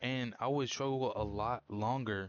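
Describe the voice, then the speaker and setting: Medium in pitch with ordinary variation, the man talks normally. He has an unremarkable speaking voice. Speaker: vlogger. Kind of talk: casual vlog monologue. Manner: casual with many fillers.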